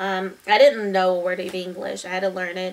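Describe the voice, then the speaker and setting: There is noticeable background noise. The speaker talks at a fairly quick pace. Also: woman. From Taiwan. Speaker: fourth-grade teacher. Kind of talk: reading aloud to students; casual talk to students. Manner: hesitant with fillers.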